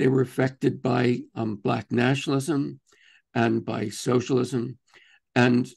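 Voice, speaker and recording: A man's voice with vocal fry against a quiet background. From Texas. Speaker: activist and author; guest. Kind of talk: interview conversation. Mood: earnest, reflective. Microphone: video call.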